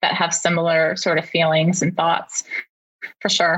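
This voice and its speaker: A woman's plain, everyday voice with a Canadian accent at a moderate pace. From Canada. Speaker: parenting content creator. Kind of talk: interview.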